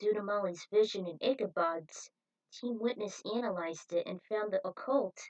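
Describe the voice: Someone reads plainly aloud while the surroundings stay quiet.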